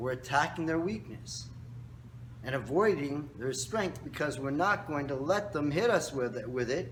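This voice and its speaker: A man speaks at a fairly slow pace with lively intonation. There is audible room echo around his voice. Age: 60s. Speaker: karate instructor. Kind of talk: tutorial. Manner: casual, instructive.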